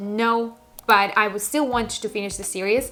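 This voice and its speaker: A woman's fairly high voice with a non-native accent and fairly even intonation, music in the background. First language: not English. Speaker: book YouTuber. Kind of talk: casual vlog talk.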